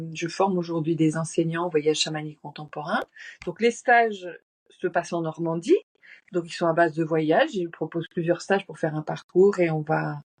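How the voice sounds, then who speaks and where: A woman speaks at a moderate pace in a fairly low pitch with ordinary pitch variation. The sound is dry and close, with no echo. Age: 60s. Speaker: shamanic journey teacher. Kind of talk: casual interview. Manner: halting.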